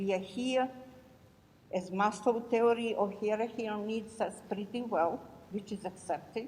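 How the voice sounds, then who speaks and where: A woman with a European accent speaks at a fairly slow pace, with a fairly high pitch and fairly even intonation. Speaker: audience member asking a question. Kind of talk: audience question at panel.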